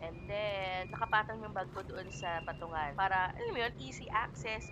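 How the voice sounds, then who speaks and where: Music plays behind a woman's voice. She speaks at a fairly slow pace. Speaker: beauty vlogger. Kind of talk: vlog tutorial. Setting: on a commuter train.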